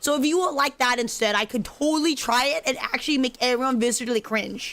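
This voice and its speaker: Against noticeable background noise, a woman with a high pitch speaks at a very fast pace with very even loudness. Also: ordinary pitch variation. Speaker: gaming streamer. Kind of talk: casual live stream chat. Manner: halting, repetitive.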